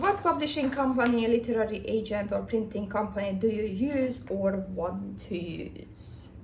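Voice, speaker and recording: A woman speaks with a non-native accent, her fairly high voice showing vocal fry and ordinary pitch variation. She barely pauses, and the room echo is audible. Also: moderate pace. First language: not English. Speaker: writer. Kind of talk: casual vlog. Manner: halting.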